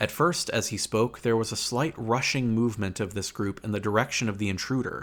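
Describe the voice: This is plain reading aloud. Nothing else is noted.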